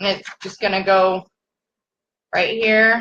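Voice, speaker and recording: Loud and with a bright, sharp tone, a woman with an American accent speaks at a very slow pace in a monotone, flat intonation. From California. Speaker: craft tumbler maker. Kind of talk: live-stream tutorial. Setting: live stream. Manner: casual, chatty with filler words.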